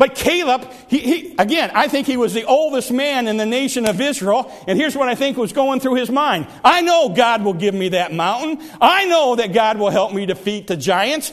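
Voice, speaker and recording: A man talks at a moderate pace with hardly any pauses, his extremely high pitch moving in lively intonation. Noticeable background noise runs underneath. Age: 60s. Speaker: pastor. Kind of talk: sermon. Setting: church.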